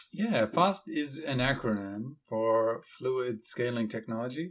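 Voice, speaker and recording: Speaking at a medium pitch, this man has a slight Australian accent. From Sydney, Australia. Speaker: methodology founder, software developer. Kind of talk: podcast interview.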